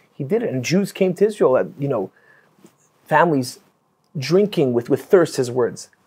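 A man's fairly high voice with very wide pitch swings, vocal fry and a dark, mellow tone, at a moderate pace. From Canada. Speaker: rabbi. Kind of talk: casual chat. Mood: reverent, admiring. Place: studio. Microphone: lapel.

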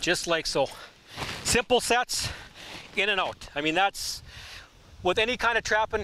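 Speaking at a fairly slow pace with long, frequent pauses, a man with a high pitch and ordinary pitch variation keeps his loudness very even, in a dry sound with no echo over light background noise. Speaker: professional trapper. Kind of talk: outdoor how-to demonstration. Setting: outdoors. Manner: casual, conversational. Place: waterside.

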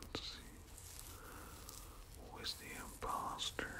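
The voice is a whisper. Behind it, background noise is noticeable. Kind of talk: whispered gameplay commentary. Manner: whispered.

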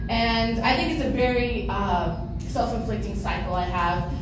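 Both audible room echo and noticeable background noise surround the woman's voice. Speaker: stand-up comedian. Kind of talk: stand-up comedy set with crowd work and self-deprecating punchlines. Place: stage.

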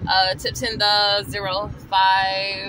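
A woman's voice, dry with no echo, over noticeable background noise. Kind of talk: casual vlog storytelling. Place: car. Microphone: phone near.

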